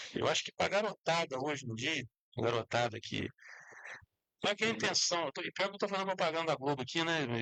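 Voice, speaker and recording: Recorded dry and close with no echo, a man with a bright, sharp tone and fairly high pitch uses lively intonation and leaves long, frequent pauses. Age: 60s. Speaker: sports talk show host. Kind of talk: casual sports talk.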